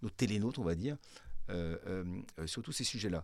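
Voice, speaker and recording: A man talks at a moderate speed with ordinary pitch variation, on a very clean recording with a silent background. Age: 50s. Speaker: media executive. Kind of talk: interview.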